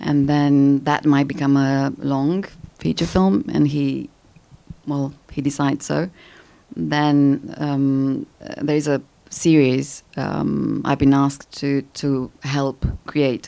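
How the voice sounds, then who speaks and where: A woman with a Romanian accent speaks at a very slow pace, her very deep, low voice dark and mellow, with fairly even intonation. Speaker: actress. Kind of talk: Q&A after screening. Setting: stage with audience.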